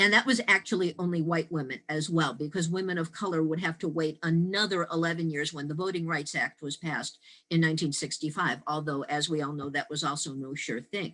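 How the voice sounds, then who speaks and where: Hardly any pauses break up speech delivered at a fairly quick pace. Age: 60s. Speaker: actress and writer, women's history speaker. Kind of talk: lecture.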